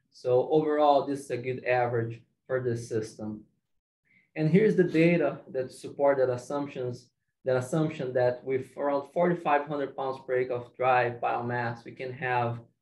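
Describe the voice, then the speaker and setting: At a moderate pace, a man speaks in a somewhat breathy voice at a medium pitch with fairly even intonation. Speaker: agronomy PhD student. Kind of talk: research presentation. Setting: video call. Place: office. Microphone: webcam.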